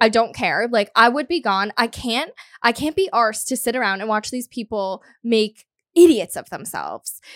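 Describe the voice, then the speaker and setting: In a very clean recording with a silent background and a dry, close sound free of echo, a woman with a fairly high pitch talks at a moderate pace in an animated tone with lively intonation. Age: 30s. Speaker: podcast co-host. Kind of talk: casual chat.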